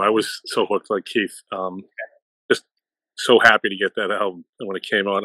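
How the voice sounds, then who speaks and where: A man talks with a Boston accent on a very clean recording with a silent background. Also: dry, close sound with no echo. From US, Boston area. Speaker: music fan panelist. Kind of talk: casual chat.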